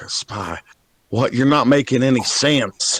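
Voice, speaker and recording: A put-on character voice, raspy and delivered at a fairly slow pace. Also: man, medium pitch for a man. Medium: actual play.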